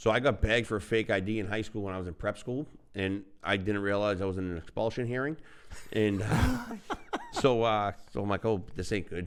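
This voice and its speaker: This man speaks with a Boston accent at a fairly low pitch. His pace is fairly quick. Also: ordinary pitch variation. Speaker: podcast co-host. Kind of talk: casual chat.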